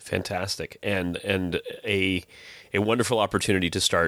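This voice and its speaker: A fairly low-pitched man's voice with vocal fry. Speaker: podcast host. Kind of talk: casual chat.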